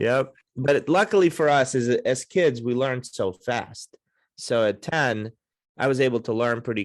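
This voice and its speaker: Against a quiet background, a man at medium pitch speaks with a Baltimore accent. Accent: American, Baltimore area. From Russia, then Baltimore suburbs from age ten. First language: Russian. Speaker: podcast host and success mentor. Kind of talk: podcast interview. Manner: animated.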